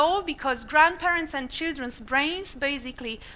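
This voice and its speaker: A raised, projected woman's voice, high-pitched with a bright, sharp tone, ordinary pitch variation and a moderate pace. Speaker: marketing executive giving a conference talk. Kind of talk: conference presentation.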